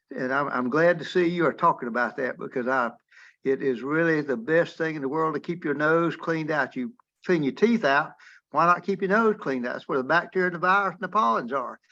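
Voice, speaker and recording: A bright, sharp tone with lively intonation at a fairly quick pace, over a quiet background. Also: man, fairly high pitch for a man. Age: 80s+. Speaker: retired physician, webinar attendee. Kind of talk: casual discussion in webinar Q&A. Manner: halting, repetitive.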